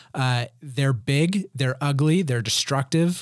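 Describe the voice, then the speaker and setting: In a plain, everyday voice, a man with an American accent speaks at a moderate pace and medium pitch with ordinary pitch variation. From Utah (Provo). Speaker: podcast co-host. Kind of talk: casual chat.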